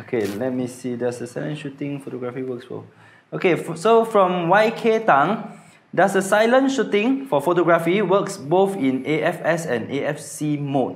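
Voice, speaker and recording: At a moderate pace, a man speaks with a fairly high pitch and very wide pitch swings. Audible room echo surrounds his voice. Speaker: live stream host. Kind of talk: live Q&A hosting. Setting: Facebook live stream. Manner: soft-spoken.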